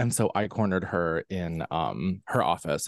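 A man's normal speaking voice with an American accent, fairly slow and with ordinary pitch variation, in a dry, close sound with no echo against a quiet background. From central Pennsylvania. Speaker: actor, singer and author. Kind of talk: casual chat.

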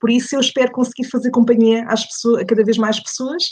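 This woman's delivery is fairly quick and somewhat breathy. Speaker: podcaster, radio background. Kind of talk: casual interview.

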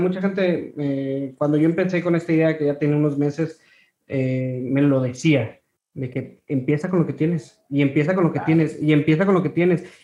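Here is a man with an unremarkable speaking voice. He talks at a moderate pace with fairly even intonation. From Ciudad Victoria, Mexico. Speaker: podcast host. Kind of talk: casual interview.

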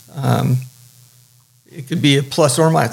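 A man talks at a moderate pace with vocal fry in his voice. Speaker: surf shop business partner. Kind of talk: interview.

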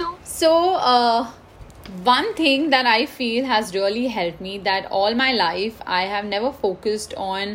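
Speech in an Indian accent moves fairly slowly with lively intonation. Noticeable background noise is present. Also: woman, fairly high pitch for a woman. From India, Mumbai. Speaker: IT consultant, engineer. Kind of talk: interview.

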